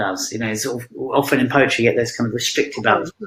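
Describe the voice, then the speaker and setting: Here a man speaks with a British accent at a medium pitch. His intonation is fairly even. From England, Punjabi immigrant family. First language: Punjabi. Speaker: poet. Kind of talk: interview on video call. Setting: online video call. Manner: halting, many fillers.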